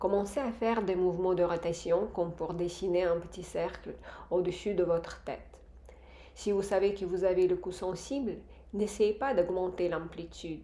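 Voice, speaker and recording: A woman speaks calmly at a moderate pace, her medium-pitched voice dark and mellow with fairly even intonation. Audible room echo surrounds her. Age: 50s. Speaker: face yoga instructor. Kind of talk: tutorial. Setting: villa bathroom. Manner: calm, instructive.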